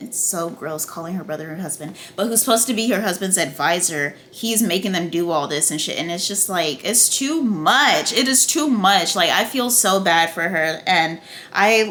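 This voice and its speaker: Noticeable background noise is present. Audible room echo surrounds the voice. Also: woman, medium pitch for a woman, lively intonation, moderate pace. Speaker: TV review YouTuber. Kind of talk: casual video review. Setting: at home, food cooking on stove. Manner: animated.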